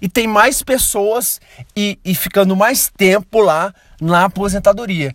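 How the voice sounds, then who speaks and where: With a dry, close sound and no echo, a man speaks at a very slow pace in a high voice with ordinary pitch variation. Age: 20s. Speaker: podcast host. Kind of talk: solo podcast monologue about a book. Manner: casual, many filler words and hesitations.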